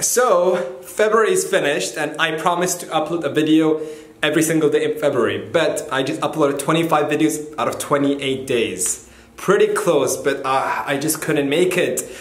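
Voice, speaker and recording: Audible room echo fills the recording. A man talks at a moderate pace with ordinary pitch variation. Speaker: vlogger. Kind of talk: casual vlog chat. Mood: light, joking. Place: home room. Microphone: phone near.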